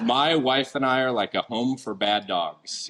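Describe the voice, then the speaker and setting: A man's voice with noticeable background noise. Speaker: deputy police chief. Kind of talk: speech at community event. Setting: event hall with audience, microphone. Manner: loud.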